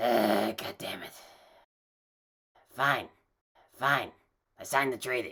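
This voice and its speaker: A raspy put-on character voice sits at a low-to-middle pitch. It moves at a fairly slow pace with long, frequent pauses. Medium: puppet. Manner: sarcastic, exasperated.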